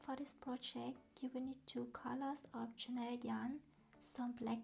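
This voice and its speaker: Speech at a fairly slow pace with a non-native accent. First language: not English. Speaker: crochet tutorial creator. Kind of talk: tutorial. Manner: slow and clear.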